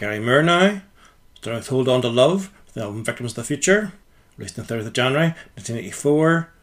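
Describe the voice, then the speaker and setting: Lively intonation marks a plain, everyday voice that moves at a fairly quick pace. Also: man, very clean recording, silent background. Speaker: radio host. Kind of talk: radio DJ patter introducing tracks and release dates. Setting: radio studio. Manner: brisk, matter-of-fact, informative.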